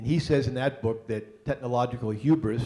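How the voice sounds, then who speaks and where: A man speaks at a moderate pace in a slight Boston accent. His medium-pitched voice is somewhat breathy, with a dark, mellow tone. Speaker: panel moderator, university engineering staff. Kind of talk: panel moderation and introductions. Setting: stage with live audience. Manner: hesitant, many fillers.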